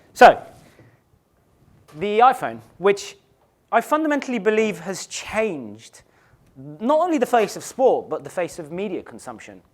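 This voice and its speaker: A high-pitched man with an English accent talks at a fairly slow pace, taking long, frequent pauses. His pitch swings very widely and his loudness varies a lot. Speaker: conference speaker, digital strategy director. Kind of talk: conference presentation. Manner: some hesitations and restarts.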